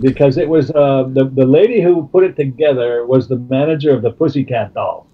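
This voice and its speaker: Music behind the voice, ordinary pitch variation, and a moderate pace. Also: man. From Canada. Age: 70s. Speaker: music manager. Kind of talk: interview. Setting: phone call. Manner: halting.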